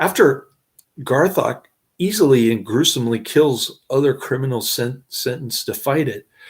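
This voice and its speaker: The voice is somewhat breathy, with ordinary pitch variation. Its pace is moderate. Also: man, medium pitch for a man. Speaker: movie reviewer. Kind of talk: movie review, plot summary. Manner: slurred, stumbling over words.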